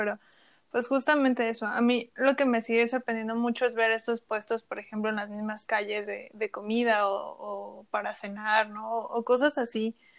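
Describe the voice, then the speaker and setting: The recording is very clean, with a silent background. A plain, everyday voice talks at a fairly slow pace. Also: woman. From Chiapas, Mexico. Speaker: podcast host. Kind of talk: interview.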